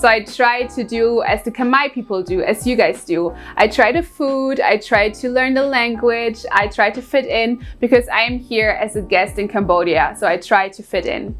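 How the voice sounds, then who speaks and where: A woman speaks at a moderate pace with hardly any pauses, her pitch fairly high. Her pitch variation is ordinary, and music plays in the background. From Germany. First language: German. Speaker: English teacher. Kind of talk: tutorial.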